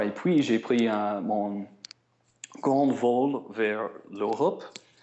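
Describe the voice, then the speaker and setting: At a very slow pace, a man with an American accent speaks at a medium pitch with ordinary pitch variation. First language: English (speaking French). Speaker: traveling musician. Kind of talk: interview. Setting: phone call. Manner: halting.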